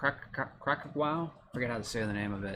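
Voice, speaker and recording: Animated male voice with an American accent at a moderate pace, over noticeable background noise. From Massachusetts. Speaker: card break streamer. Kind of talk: live stream card break commentary.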